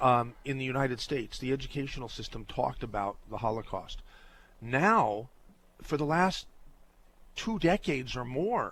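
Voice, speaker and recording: Lively intonation marks this man's speech at a moderate pace. He pauses often and at length. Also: medium pitch for a man. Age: 60s. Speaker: radio talk show host. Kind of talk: call-in radio talk. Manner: halting.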